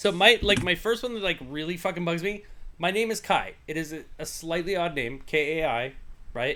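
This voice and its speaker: Mumbling with an American accent, a man speaks at a moderate pace in a high pitch with a bright, sharp tone and lively intonation. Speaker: podcast host. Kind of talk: casual chat. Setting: livestream.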